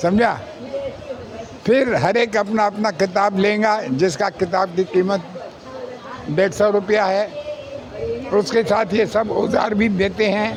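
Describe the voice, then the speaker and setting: Very even loudness and fairly even intonation, broken by long, frequent pauses, over crowd noise in the background. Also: man, high pitch for a man. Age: 80s+. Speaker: acupressure therapist. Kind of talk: interview.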